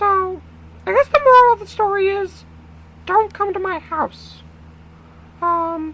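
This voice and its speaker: Squeaky and put-on, this character voice goes at a fairly slow pace. Long pauses come often. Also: man, extremely high pitch for a man. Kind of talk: comic crude parody. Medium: solo performance. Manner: stammering, rambling, full of filler words.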